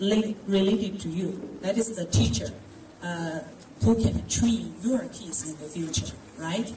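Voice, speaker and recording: A woman with a Chinese accent at medium pitch, lively in intonation and moderate in pace, with audible room echo and noticeable background noise. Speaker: Chinese language lecturer. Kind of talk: speech at school event. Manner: halting.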